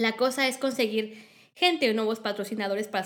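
Speaking with a Mexican accent, a woman moves at a fairly quick pace. Her pitch is medium, with ordinary pitch variation. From Mexico. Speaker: film industry organizer. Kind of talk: interview.

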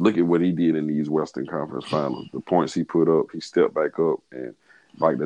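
Vocal fry runs through a man's very deep, low voice. He moves at a fairly quick pace with fairly even intonation. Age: 30s. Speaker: podcast host, sports fan. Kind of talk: casual chat.

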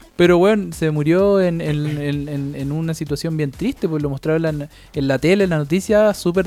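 Music plays in the background. Over it, a man speaks with a fairly high pitch. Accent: Chilean. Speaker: podcast co-host. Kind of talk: casual chat.

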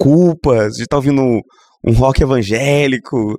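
A man talks at a moderate pace in a plain, everyday voice of medium pitch. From Minas Gerais, Brazil (Governador Valadares). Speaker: Anglican bishop and pastor. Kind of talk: casual interview conversation.

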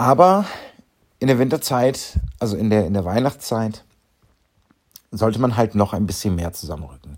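A man's fairly low voice at a moderate pace, lively in intonation, with long, frequent pauses. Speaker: clown and charity volunteer. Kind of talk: solo podcast monologue.

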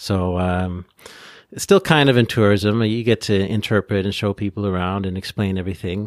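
This man has a plain, everyday voice with a Canadian accent and fairly even intonation. The recording is very clean, with a silent background and a dry, close sound with no echo. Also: fairly low pitch for a man, moderate pace. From Ontario, Canada. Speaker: podcast co-host and former tour guide. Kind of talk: casual chat.

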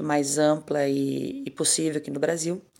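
A woman speaks with a very deep, low pitch. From southern Brazil, Pelotas, Rio Grande do Sul. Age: 40s. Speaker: singer. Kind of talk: interview.

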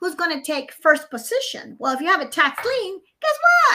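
A raised, projected voice comes through with a Spanish accent. The tone is bright and sharp, with lively intonation. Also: woman. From Nicaragua. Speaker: mortgage consultant and real estate broker. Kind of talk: casual interview chat. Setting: video call.

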